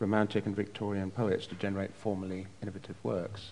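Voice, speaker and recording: Speaking at a moderate pace, a man with an unremarkable speaking voice keeps to a fairly low pitch. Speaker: event host and publisher. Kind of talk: formal event introduction. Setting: stage with audience.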